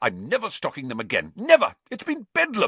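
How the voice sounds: A man puts on a character voice, pitched fairly high, bright and sharp with a slightly husky edge. His pitch swings very widely at a fairly quick pace, and the sound is dry and close with no echo.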